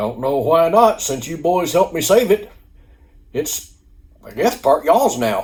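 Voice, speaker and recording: A put-on character voice growls at a moderate pace with very wide pitch swings. Long pauses come often. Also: man, high pitch for a man. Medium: read story. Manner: drawling, folksy.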